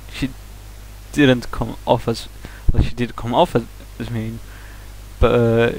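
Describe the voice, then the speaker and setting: A man speaks with a Swedish accent. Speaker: vlogger. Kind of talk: casual vlog monologue. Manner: halting, many fillers and restarts.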